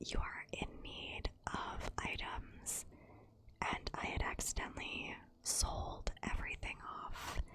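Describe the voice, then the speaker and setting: The speaker whispers at a very slow pace. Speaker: ASMR creator. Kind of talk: ASMR gameplay commentary. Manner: soft-spoken, whispered.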